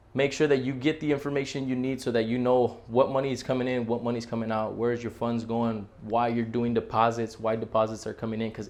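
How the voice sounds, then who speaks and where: Barely pausing, a man speaks very fast at a medium pitch in a monotone, flat intonation. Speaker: real estate agent. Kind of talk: tutorial.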